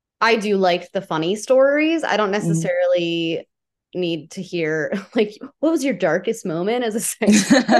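Here is a woman at a medium pitch with a plain, everyday voice. She talks at a moderate pace with lively intonation. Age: 30s. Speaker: podcast host. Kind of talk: podcast interview.

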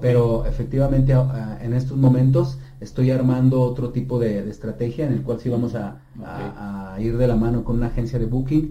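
Against noticeable background noise and audible room echo, a man at a medium pitch talks at a fairly quick pace with fairly even intonation. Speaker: rock pop singer. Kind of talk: interview. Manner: halting, many repetitions.

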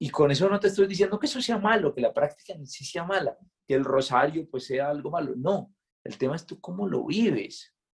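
A man speaks at a high pitch and a fairly quick pace. His intonation is lively, and his loudness swings widely. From Colombia, Santander. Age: 20s. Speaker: friar. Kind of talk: casual interview conversation.

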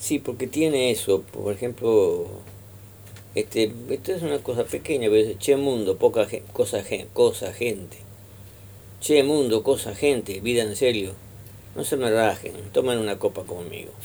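Speaking at a fairly slow pace with a Rioplatense accent, a man comes through on a very clean recording with a silent background. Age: 80s+. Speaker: historian and radio host. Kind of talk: radio interview. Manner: halting.

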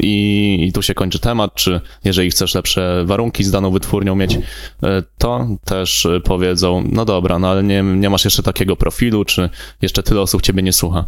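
A man with a very deep, low pitch speaks in a flat monotone at a very even loudness. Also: fairly quick pace. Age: 20s. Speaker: music artist manager and talent scout. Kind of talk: casual chat. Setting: studio.

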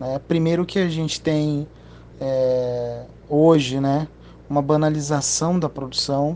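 A man talks very slowly, with a fairly high pitch and fairly even intonation. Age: 30s. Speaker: audiovisual production business owner. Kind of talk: interview. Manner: halting, many fillers and repetitions.

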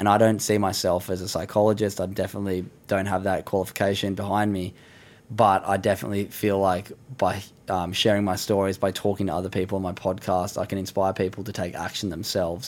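Very fast and in monotone, flat intonation, a man talks at a fairly low pitch with an Australian accent. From Australia, Sydney. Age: 20s. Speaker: professional surfer and mental health advocate. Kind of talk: casual chat.

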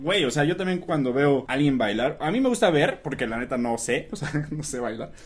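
In an unremarkable speaking voice, a man talks fairly quickly at a fairly high pitch, with lively intonation and hardly any pauses. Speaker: podcast host. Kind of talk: casual chat.

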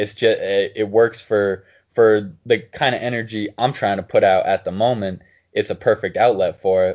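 A man's moderately paced, medium-pitched delivery in an ordinary speaking voice, with fairly even intonation. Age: 20s. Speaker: podcast co-host. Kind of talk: casual chat.

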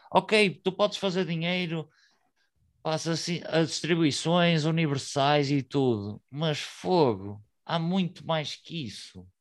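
Over a silent background in a very clean recording, a man speaks at a very slow pace with lively intonation. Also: fairly high pitch for a man. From northern Portugal, Vila Nova de Gaia. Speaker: hip hop podcaster. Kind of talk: casual chat.

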